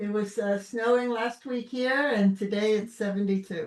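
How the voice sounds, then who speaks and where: A woman speaks at a fairly slow pace with a slight Brooklyn accent, her medium-pitched voice keeping a fairly even intonation. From Brooklyn, New York. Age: 60s. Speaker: podcast host. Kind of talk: casual chat.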